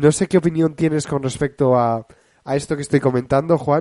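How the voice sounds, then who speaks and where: Against a quiet background, a man with a dark, mellow tone and fairly high pitch talks at a moderate pace with fairly even intonation. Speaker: film radio show host. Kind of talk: casual film chat.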